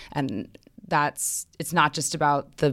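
A woman with an American accent speaks in a very deep, low voice with vocal fry, in a very clean recording with a silent background. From New York City (Manhattan). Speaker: marketing director. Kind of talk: interview conversation; personal essay reading.

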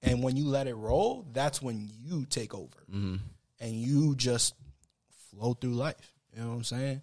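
This man has a plain, everyday voice at a medium pitch. He speaks at a fairly slow pace with ordinary pitch variation. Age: 30s. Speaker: podcast co-host. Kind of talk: casual chat.

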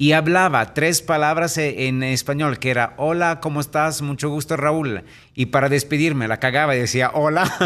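A man talks at a fairly high pitch and a moderate pace. His intonation stays fairly even. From Italy. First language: Italian (speaking Spanish). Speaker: real estate entrepreneur and speaker. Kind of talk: interview. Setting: radio studio.

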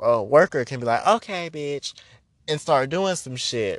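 Male voice with quiet surroundings. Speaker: witch and spiritual practitioner podcaster. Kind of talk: angry rant, unscripted and heated, fed up and calling out scammers; casual unstructured solo podcast talk. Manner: loud, emphatic and punchy, repeating lines for emphasis, sassy and profane; casual, chatty, filler-heavy, with 'girl' and 'baby' asides.

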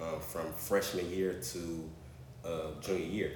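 A somewhat breathy man's voice, very deep and low in pitch, with an American accent, monotone flat intonation and audible room echo. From US South, Orangeburg, South Carolina. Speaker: entrepreneur, former college athlete. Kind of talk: casual interview, personal story.

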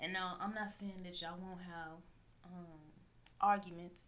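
Speaking at a moderate pace, a woman with a Southern US accent uses a fairly low pitch. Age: 20s. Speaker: podcast host. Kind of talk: casual solo monologue. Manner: loud.

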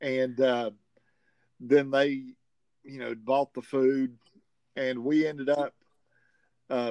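This man speaks with a Southern US accent. His pace is fairly slow. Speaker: tournament organizer, game champion. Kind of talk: interview, casual chat.

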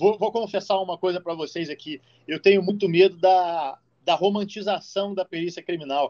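A man with a high pitch and fairly even intonation speaks at a moderate pace, his loudness swinging widely, in a dry, close sound with no echo. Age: 30s. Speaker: criminal forensic expert and podcast co-host. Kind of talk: casual chat.

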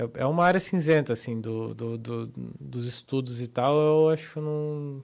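An ordinary speaking voice moves at a fairly slow pace with hardly any pauses and ordinary pitch variation. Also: man, medium pitch for a man. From Santa Catarina, Brazil. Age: 30s. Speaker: professional poker player. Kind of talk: casual interview. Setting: studio.

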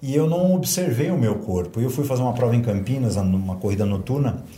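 At a fairly quick pace, the speech comes through with audible room echo and noticeable background noise. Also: man. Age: 50s. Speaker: martial arts and fitness instructor. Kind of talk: casual interview chat.

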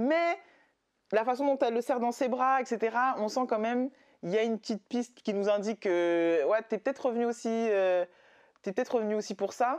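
Over a quiet background, a woman talks at a fairly quick pace and fairly high pitch. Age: 30s. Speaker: podcast host. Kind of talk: casual chat.

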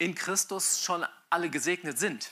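Very slowly, a man speaks at a high pitch with a bright, sharp tone. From Germany, Mainz. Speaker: pastor. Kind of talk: sermon. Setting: church with live audience and livestream.

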